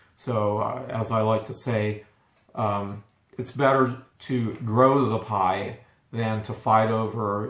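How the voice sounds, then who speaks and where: Audible room echo surrounds a man speaking at a very slow pace. His medium pitch holds fairly even intonation. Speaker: coffee roaster and video host. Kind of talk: product review and tutorial. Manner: halting with stutters and fillers.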